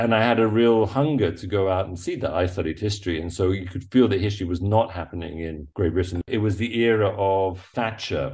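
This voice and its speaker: A man's somewhat breathy, fairly low-pitched voice with an English accent, ordinary pitch variation and hardly any pauses. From England. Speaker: photojournalist. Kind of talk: interview. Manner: halting.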